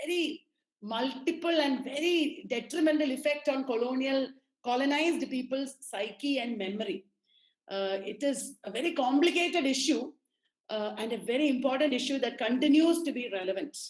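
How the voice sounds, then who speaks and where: High-pitched female voice, its pitch rising and falling in an ordinary way. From Kerala, India. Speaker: lecturer, resource person. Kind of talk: lecture. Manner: halting, many fillers.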